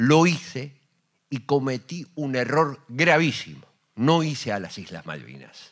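In a quiet background, a man of medium pitch speaks at a very slow pace, with lively intonation and big swings in loudness. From Argentina. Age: 60s. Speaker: war veteran and radio host. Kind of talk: panel talk. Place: hall. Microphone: handheld.

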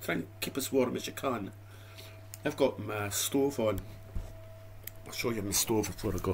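A man with a Dundee accent talks at a moderate pace in a fairly low pitch, with ordinary pitch variation, long and frequent pauses, and light background noise. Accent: Scottish (Dundee). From Scotland. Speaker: YouTube food reviewer. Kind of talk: casual vlog monologue. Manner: rambling, chatty. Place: home room. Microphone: webcam.

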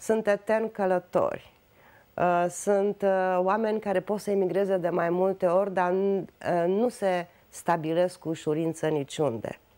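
The speaker's dark, mellow tone moves at a fairly slow pace with fairly even intonation. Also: woman. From Romania. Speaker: writer; interviewee. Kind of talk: interview. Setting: studio. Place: studio.

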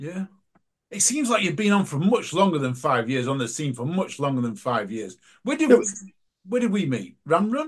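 A man with an English accent and a high pitch speaks at a moderate pace, his voice making very wide pitch swings. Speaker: podcast host. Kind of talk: casual chat. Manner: animated.

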